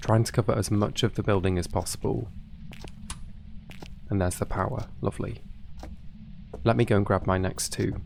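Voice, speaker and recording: A quiet man with a fairly low pitch talks at a fairly quick pace, using ordinary pitch variation and long, frequent pauses. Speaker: gaming YouTuber. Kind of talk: calm gameplay commentary. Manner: quiet hushed tone; calm, relaxed.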